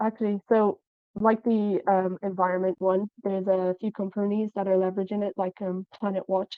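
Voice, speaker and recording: Her pitch sits in the medium range for a woman. She speaks at a moderate pace with monotone, flat intonation. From Ireland; Cork. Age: young. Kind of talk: interview answer.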